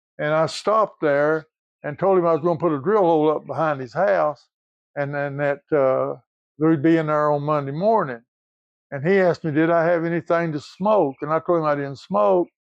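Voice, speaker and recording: The speech comes at a moderate pace in an Appalachian accent. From Appalachia, southeast Kentucky. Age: 80s+. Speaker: retired coal field worker. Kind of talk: storytelling.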